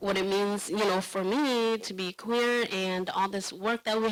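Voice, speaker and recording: In a non-native accent, a woman speaks with monotone, flat intonation. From refugee family, raised in US public housing. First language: not English. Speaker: panelist, LGBTQ community organizer. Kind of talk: panel discussion. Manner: hesitant, many fillers and restarts.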